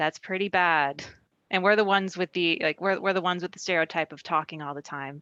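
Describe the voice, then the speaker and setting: A soft-spoken woman at a fairly quick pace, fairly low in pitch with a bright, sharp tone, big swings in loudness, and a dry, close sound with no echo against a quiet background. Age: 30s. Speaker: aerospace engineer. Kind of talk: panel discussion. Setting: video call. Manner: animated.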